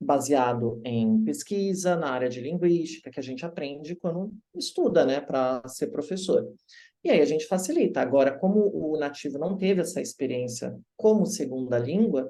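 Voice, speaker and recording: A dark, mellow tone at a moderate pace with lively intonation. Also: man, fairly high pitch for a man. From Brazil. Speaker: English teacher. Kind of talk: interview.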